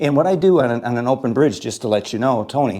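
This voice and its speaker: Dark, mellow tone from a male speaker. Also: very clean recording, silent background. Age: 60s. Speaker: pool instructor. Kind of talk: tutorial. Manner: casual, conversational.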